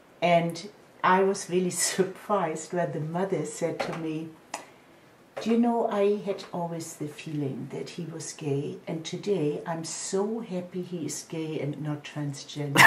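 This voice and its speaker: A woman's fairly low voice at a fairly slow pace, with noticeable background noise. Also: ordinary pitch variation. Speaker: mother of a transgender son. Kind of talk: interview answer.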